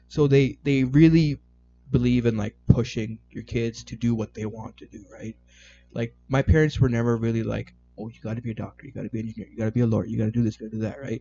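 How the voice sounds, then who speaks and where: Over music in the background, a man with a Canadian accent talks at a very fast pace, medium in pitch, with fairly even intonation and big swings in loudness. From Canada, Toronto. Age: 20s. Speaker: IT worker and amateur photographer. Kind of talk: casual chat.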